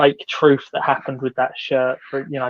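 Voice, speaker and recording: A man with a southern English accent speaks fairly quickly at a fairly high pitch. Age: 30s. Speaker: football shirt social media creator. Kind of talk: casual chat.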